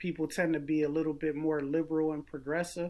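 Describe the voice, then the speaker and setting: A man's normal speaking voice, fairly high-pitched, with an American accent, moderate pace and fairly even intonation, on a very clean recording with a silent background. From US Northeast, Philadelphia. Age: 40s. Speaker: political candidate and military veteran. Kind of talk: interview.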